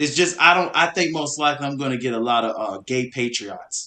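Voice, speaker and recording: A loud man's voice, bright and sharp in tone, at medium pitch with ordinary pitch variation and a fairly quick pace. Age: young. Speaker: podcast co-host. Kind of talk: casual chat. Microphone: far from the mic.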